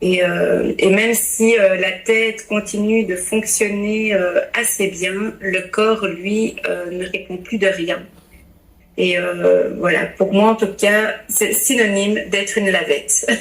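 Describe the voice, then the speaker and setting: In a Belgian accent, a woman speaks at a very slow pace with fairly even intonation. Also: medium pitch for a woman. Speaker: pastor's wife and family coach. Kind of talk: podcast interview, testimony. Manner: hesitant, many fillers.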